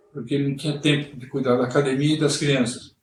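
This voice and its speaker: Amid audible room echo, a man speaks in a monotone, flat delivery at a fairly high pitch. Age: 60s. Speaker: swimming instructor. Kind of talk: interview. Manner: halting.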